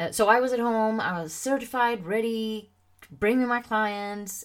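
A woman with a Swedish accent is heard on a very clean recording against a silent background. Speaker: confidence coach and podcast host. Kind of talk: solo podcast monologue. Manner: casual, many fillers.

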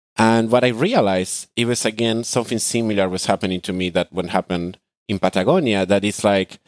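Speaking fairly quickly with a Spanish accent, a man uses a fairly low pitch in a very clean recording with a silent background. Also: dry, close sound with no echo. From Argentina. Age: 20s. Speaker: digital nomad. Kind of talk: podcast interview. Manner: hesitant, many fillers.

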